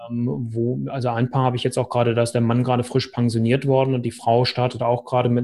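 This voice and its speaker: A man speaks at a fairly quick pace. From northern Germany, Hannover. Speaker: relationship coach. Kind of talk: interview.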